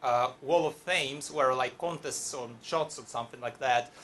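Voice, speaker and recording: Bright and sharp in tone, this voice carries a Russian accent and ordinary pitch variation. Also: man. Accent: Russian accent, non-native English. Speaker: storyteller at live event. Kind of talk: live storytelling to audience. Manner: halting, many fillers.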